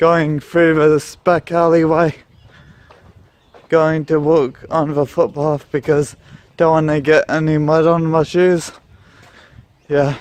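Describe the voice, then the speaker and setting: A man with an Australian accent speaks at a very slow pace with long, frequent pauses. His fairly high voice stays monotone and flat, at very even loudness. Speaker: vlogger. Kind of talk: casual vlog. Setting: outdoors, walking in rain.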